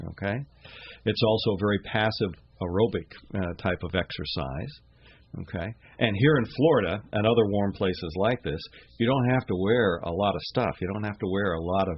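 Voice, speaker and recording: The speech moves at a fairly quick pace with ordinary pitch variation, broken by long, frequent pauses. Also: man, fairly low pitch for a man. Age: 60s. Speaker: scuba diving instructor. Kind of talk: radio interview. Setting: radio studio. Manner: halting, many fillers and repetitions.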